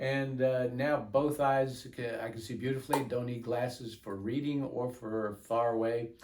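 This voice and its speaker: Over noticeable background noise and audible room echo, a man at a medium pitch talks in a monotone, flat way at a moderate pace. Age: 70s. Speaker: patient. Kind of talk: testimony. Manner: halting.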